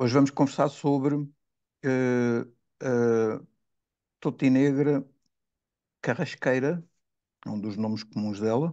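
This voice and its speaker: A man speaks at a very slow pace with long, frequent pauses and fairly even intonation. His tone is dark and mellow at a medium pitch, over a quiet background. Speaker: podcast host. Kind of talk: casual chat. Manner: halting.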